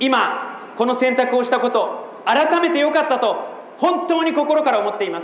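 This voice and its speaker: A man's extremely high-pitched voice with lively intonation at a moderate pace, plus noticeable background noise and audible room echo. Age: 30s. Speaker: political candidate. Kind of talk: campaign speech. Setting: outdoor rally in front of a train station. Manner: impassioned.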